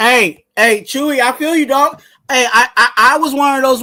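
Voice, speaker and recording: A raised, projected voice with a bright, sharp tone comes through in a very clean recording with a silent background. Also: man. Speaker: sports podcaster / YouTuber. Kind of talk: casual live commentary. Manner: loud; animated.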